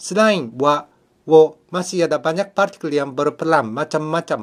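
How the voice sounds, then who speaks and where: With a Japanese accent, a man talks at a fairly high pitch and moderate pace with ordinary pitch variation. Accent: Japanese accent in Indonesian. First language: Japanese (speaking Indonesian). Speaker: language teacher. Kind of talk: tutorial. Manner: formal.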